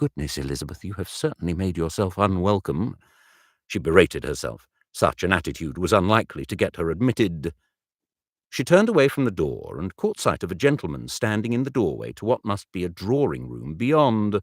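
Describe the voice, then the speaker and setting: This voice moves at a fairly quick pace with vocal fry and very wide pitch swings, heard in a dry, close sound with no echo. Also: man, very deep, low pitch for a man, very clean recording, silent background. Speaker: audiobook narrator. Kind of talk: audiobook narration.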